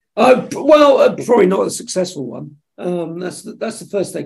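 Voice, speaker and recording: A man speaks with an English accent. His pace is fairly quick. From England, Suffolk. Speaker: television executive. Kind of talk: casual interview.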